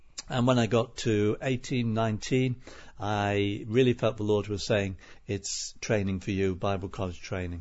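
A man with a Liverpool accent, a fairly low pitch, a moderate pace and fairly even intonation. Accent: Scouse (Liverpool). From Liverpool, England. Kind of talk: interview.

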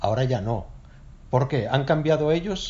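Somewhat breathy, this voice keeps a moderate pace and shows ordinary pitch variation. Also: man. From northern Spain, Oviedo (Asturias). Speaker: Spanish teacher. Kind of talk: casual chat.

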